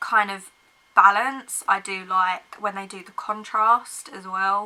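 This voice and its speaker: A woman with an English accent speaks with fairly even intonation. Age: 20s. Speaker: book vlogger. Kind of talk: casual chat.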